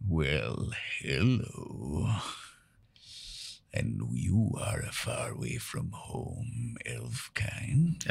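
A man puts on a character voice, growling at a very deep, low pitch. He speaks very slowly, with long, frequent pauses. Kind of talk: mocking, formal, archaic. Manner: snarling, hostile.

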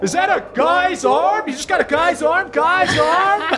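In a put-on character voice, someone shouts at a high pitch and a fairly slow pace over clear background noise. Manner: incredulous.

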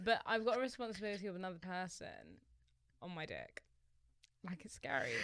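The speech runs at a very fast pace yet has long, frequent pauses, with lively intonation and big swings in loudness. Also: woman, medium pitch for a woman. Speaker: podcast co-host. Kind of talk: casual chat.

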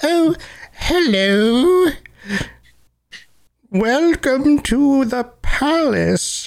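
This female-sounding, high-pitched voice is a put-on character. It moves at a very slow pace, broken by long, frequent pauses. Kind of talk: formal, polite. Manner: slow, deliberate.

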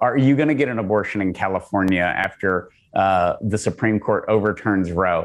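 Here is a man with a normal speaking voice and a fairly low pitch. He keeps a moderate pace with ordinary pitch variation. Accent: American. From Texas. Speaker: pro-life organization leader. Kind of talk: podcast interview.

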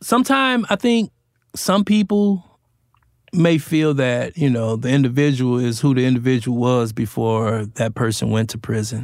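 Recorded very cleanly against a silent background, a man speaks at a medium pitch and moderate pace with lively intonation. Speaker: podcast host, formerly incarcerated. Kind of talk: interview.

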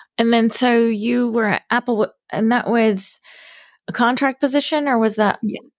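A woman talks at a fairly slow pace in an ordinary speaking voice, pitched fairly high, with fairly even intonation. Her loudness stays very even, and the very clean recording has a silent background and a dry, close sound with no echo. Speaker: podcast host. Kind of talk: interview intro and chat.

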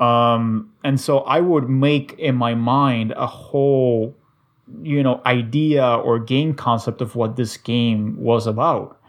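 Against a quiet background, a man with a medium pitch speaks at a very slow pace, his loudness very even. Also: fairly even intonation. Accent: Spanish. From Cuba. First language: Spanish. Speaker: podcast guest, gamer. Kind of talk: casual chat.

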